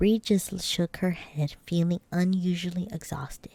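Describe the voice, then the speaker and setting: Whispering at a fairly slow pace, a woman is soft-spoken. Her voice is somewhat breathy. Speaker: ASMR streamer and vtuber. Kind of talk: ASMR bedtime story reading. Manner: soft-spoken, whispery.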